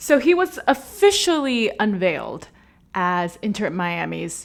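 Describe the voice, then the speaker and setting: This is a woman's voice. She speaks with an American accent. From USA. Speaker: football podcast host. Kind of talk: casual commentary monologue. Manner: animated.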